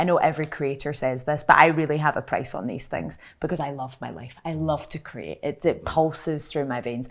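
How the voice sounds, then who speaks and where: Talking at a fairly quick pace with hardly any pauses, a woman with a very deep, low pitch and vocal fry keeps fairly even intonation amid big swings in loudness. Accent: Glaswegian. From Scotland, Glasgow. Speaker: content creator. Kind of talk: panel discussion. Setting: live panel at an industry festival.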